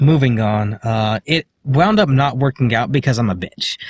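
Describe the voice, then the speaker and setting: With lively intonation and a somewhat breathy medium-pitched voice, a man speaks at a moderate pace in a dry, close recording with no echo. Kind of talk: casual vlog talk to camera. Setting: in a parked car. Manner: hesitant, many filler words.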